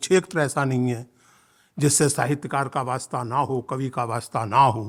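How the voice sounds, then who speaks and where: Over a silent background in a very clean recording, a man talks at medium pitch with fairly even intonation. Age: 60s. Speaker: writer and professor giving a speech. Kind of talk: inaugural speech at a literature festival. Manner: impassioned, formal.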